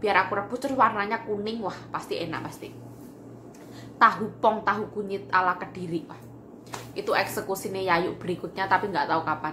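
Light background noise accompanies speech at a fairly quick pace with ordinary pitch variation. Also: woman. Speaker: home cooking vlogger. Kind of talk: casual vlog chat. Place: kitchen. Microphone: phone near.

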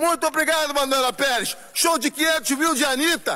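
Over noticeable background noise, a man with extremely high pitch and ordinary pitch variation uses a raised, projected voice at a fairly slow pace. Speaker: street reporter. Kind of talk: field report. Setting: outdoors.

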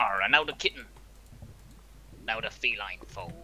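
Putting on a character voice, a man speaks at a moderate pace and fairly low pitch over clear background noise. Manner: swaggering.

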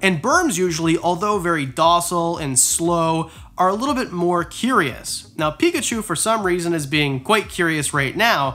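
Lively intonation rides on a bright, sharp tone. The pace is moderate, with hardly any pauses. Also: man. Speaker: reptile keeper youtuber. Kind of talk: casual vlog chat. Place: home room.

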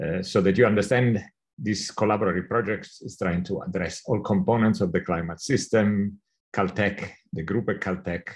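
Over a quiet background, a man with a plain, everyday voice speaks at a moderate pace, fairly low in pitch and with fairly even intonation. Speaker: lecturer. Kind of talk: lecture. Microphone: video call.

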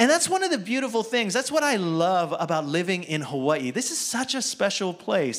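The man's pitch swings very widely while his pace stays moderate. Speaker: preacher. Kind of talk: sermon. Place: church. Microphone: handheld.

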